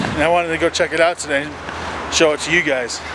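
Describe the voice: The speaker talks at a moderate pace over clear background noise. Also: man.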